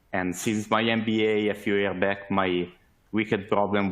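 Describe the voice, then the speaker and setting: Speaking in an Italian accent, a man uses a fairly low pitch. His intonation is monotone and flat, at a moderate pace. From Italy. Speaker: sales manager, webinar speaker. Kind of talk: webinar presentation. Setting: online webinar. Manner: hesitant, many fillers.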